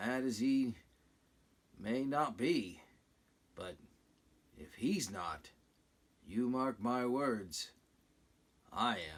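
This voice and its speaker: Using a raspy, put-on character voice at a medium pitch, a man speaks at a very slow pace with very wide pitch swings and long, frequent pauses. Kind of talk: sea-salt sailor talk. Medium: read story.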